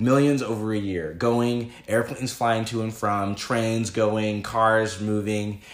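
Hardly pausing, a man speaks at a very slow pace and a medium pitch with fairly even intonation. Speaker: podcast guest. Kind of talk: casual debate conversation.

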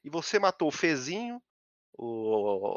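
At a very slow pace, a man speaks. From São Paulo, Brazil. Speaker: game streamer. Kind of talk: casual chat.

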